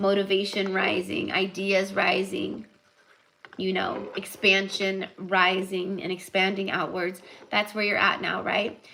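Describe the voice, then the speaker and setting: Over noticeable background noise, a woman with a medium-pitched voice talks at a fairly slow pace. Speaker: tarot reader. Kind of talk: live tarot reading. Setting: livestream. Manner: casual, animated.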